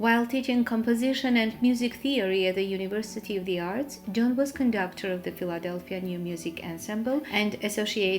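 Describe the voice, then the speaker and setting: A woman with an Armenian accent at medium pitch, moderate pace and ordinary pitch variation, against noticeable background noise. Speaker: podcast host. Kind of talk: scripted introduction. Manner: formal.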